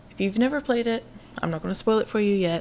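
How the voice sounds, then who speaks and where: Noticeable background noise runs through the clip. The speaker's intonation is lively. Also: woman. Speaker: gaming YouTuber. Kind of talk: let's play commentary.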